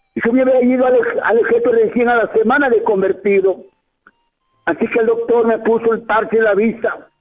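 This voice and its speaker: Over music in the background, a man with an extremely high voice speaks at a fairly quick pace with fairly even intonation and very even loudness. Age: 70s. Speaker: pastor. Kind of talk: testimony. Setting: radio broadcast.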